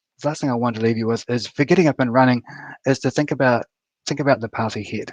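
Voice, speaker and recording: A man with fairly even intonation and a New Zealand accent. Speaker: software architect, conference speaker. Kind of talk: conference talk. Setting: online live stream. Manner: halting, many fillers and repeats.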